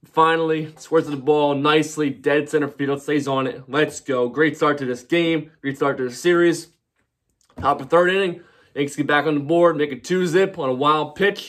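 The speech keeps a moderate pace and fairly even intonation against a quiet background. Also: man. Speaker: sports fan vlogger. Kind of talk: casual postgame recap commentary. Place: home room. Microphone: phone near.

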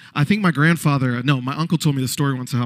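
A man with an American accent at a very fast pace, over a quiet background. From Detroit, Michigan. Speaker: singer-songwriter and speaker; speaker. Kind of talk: keynote speech. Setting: stage with audience. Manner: animated. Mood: playful, conversational. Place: hall. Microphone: handheld.

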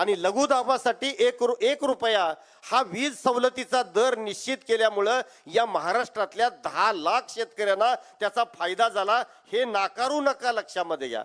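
Ordinary in its pitch variation, this man's voice is extremely high in pitch. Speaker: farmers' union leader, retired professor. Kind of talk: political rally speech. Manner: loud, fiery oratory.

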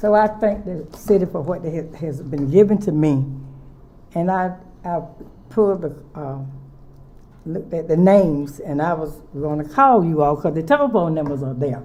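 A woman's fairly low voice in a North Carolina accent, with ordinary pitch variation, a moderate pace, long and frequent pauses, and audible room echo. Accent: Southern US (North Carolina). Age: 80s+. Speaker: nonprofit director. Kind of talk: public comment. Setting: city council meeting.

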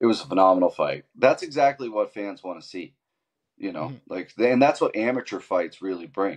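A man talks at a fairly quick pace. His loudness swings widely over a quiet background. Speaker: MMA fight promoter; guest. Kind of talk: interview. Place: home room. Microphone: video call.

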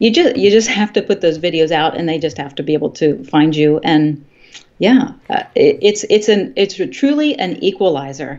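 A woman's voice at a moderate pace, with very wide pitch swings, against a quiet background. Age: 50s. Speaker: health and fitness YouTuber, former college instructor; fitness YouTuber, former college instructor. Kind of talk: interview. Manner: halting, frequent fillers and repetitions. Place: home room. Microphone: video call.

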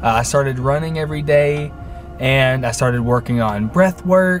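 A man with an American accent at a fairly high pitch and fairly slow pace, ordinary pitch variation, dry sound with no echo and faint music in the background. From Middle Tennessee, USA. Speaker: vlogger. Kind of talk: casual talk to camera. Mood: friendly, a bit nervous. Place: car. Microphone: phone near.

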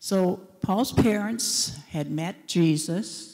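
The background is quiet. A woman speaks with lively intonation and a dark, mellow tone. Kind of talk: personal testimony talk. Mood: warm reminiscing. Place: church. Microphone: handheld.

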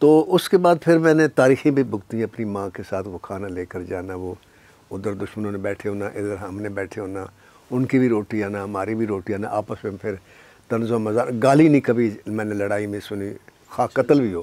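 The man's voice is fairly low, with a dark, mellow tone. His pace is fairly slow. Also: ordinary pitch variation, dry sound with no echo. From Pakistan, Punjab (Sargodha); Punjab, Pakistan. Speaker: film screenwriter; guest. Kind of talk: interview. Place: studio.

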